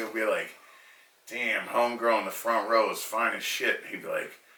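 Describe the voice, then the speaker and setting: A man speaks with a Boston accent. Audible room echo and noticeable background noise are present in the recording. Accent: eastern US (Boston). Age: 30s. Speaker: comedian, podcast host. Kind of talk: casual chat.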